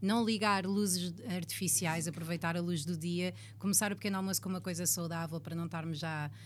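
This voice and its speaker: A somewhat breathy, fairly low-pitched woman's voice with a European Portuguese accent, ordinary pitch variation, a fairly quick pace and hardly any pauses. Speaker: radio presenter and comedian. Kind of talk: casual interview.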